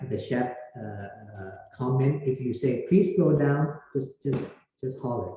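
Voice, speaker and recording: Audible room echo surrounds a man whose medium-pitched voice is dark, mellow, and somewhat breathy, speaking fairly slowly with lively intonation. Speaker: university lecturer. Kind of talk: lecture. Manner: halting.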